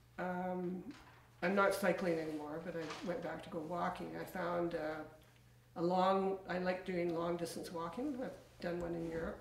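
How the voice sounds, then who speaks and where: A woman speaks at a fairly slow pace with fairly even intonation and a fairly low pitch, with audible room echo. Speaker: interviewee. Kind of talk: interview answer. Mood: calm, reflective. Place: home room.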